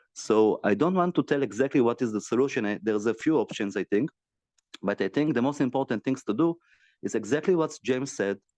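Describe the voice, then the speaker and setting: A medium-pitched man with an Israeli accent, very fast and lively, in a dry, close sound with no echo against a quiet background. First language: Hebrew. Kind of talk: video call discussion. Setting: video call. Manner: halting.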